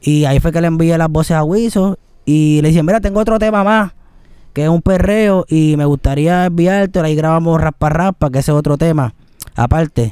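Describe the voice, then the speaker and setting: At a fairly quick pace, a man speaks in a dark, mellow tone with ordinary pitch variation and very even loudness, the sound dry with no echo against a quiet background. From Puerto Rico. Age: 20s. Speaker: singer; guest. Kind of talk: interview. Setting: outdoors. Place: garden. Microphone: studio mic.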